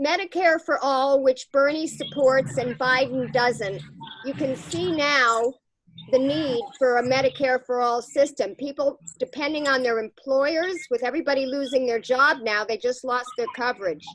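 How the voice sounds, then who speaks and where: Noticeable background noise is present. A woman with a high pitch speaks at a moderate pace with ordinary pitch variation. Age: 60s. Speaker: political volunteer and video host. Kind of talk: remote interview with voters.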